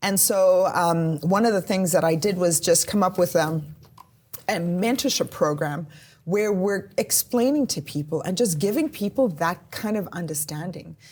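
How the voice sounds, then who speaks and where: Ordinary pitch variation and a moderate pace in a somewhat breathy voice. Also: woman, medium pitch for a woman. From South Africa. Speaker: police officer. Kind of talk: podcast interview.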